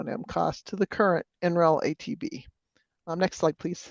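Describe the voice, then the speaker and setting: The sound is dry and close with no echo, over a quiet background. A woman talks at a fairly low pitch with ordinary pitch variation. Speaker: energy consultant presenting a technology assessment. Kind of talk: technical presentation in an online meeting. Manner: fast.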